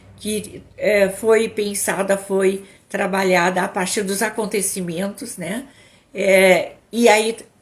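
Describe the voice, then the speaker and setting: A woman speaks at a very slow pace in a medium pitch, with monotone, flat intonation. The recording is very clean, with a silent background. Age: 60s. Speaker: psychologist and couples therapist. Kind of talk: live stream talk. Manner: halting, repeats words.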